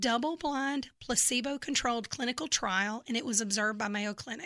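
Recorded very cleanly against a silent background, a woman with a Southern accent speaks at a moderate pace in a high, bright, sharp voice with ordinary pitch variation. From Memphis, Tennessee. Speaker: health products seller. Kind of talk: interview.

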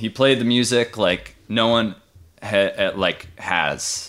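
Very slowly, a man with an American accent speaks at a fairly low pitch in a bright, sharp tone. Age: 30s. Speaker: musician. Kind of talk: casual interview. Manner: halting, many fillers.

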